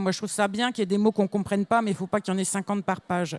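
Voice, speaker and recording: Recorded very cleanly against a silent background, a woman's medium-pitched voice sounds dry and close with no echo, her intonation fairly even. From northern France, near Belgium (Lille area). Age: 60s. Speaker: children's author. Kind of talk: panel discussion answering pupils' questions.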